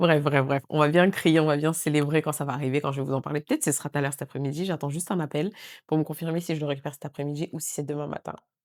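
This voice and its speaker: In a very clean recording with a silent background, a woman with a very deep, low pitch talks at a very fast pace in a flat monotone. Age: 30s. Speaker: lifestyle vlogger. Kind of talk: casual vlog talk to camera. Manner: hurried.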